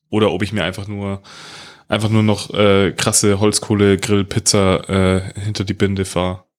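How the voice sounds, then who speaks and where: The recording is very clean, with a silent background. A man talks at a moderate pace in a fairly low pitch, his intonation monotone and flat. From Bavaria. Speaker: podcast co-host. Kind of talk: casual chat.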